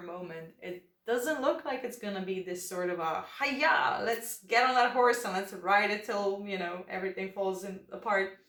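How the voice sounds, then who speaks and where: The speaker has a non-native accent and talks at a moderate pace with ordinary pitch variation. Background noise is noticeable. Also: woman. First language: not English. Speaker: tarot reader. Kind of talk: tarot reading. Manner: relaxed, hesitant with fillers.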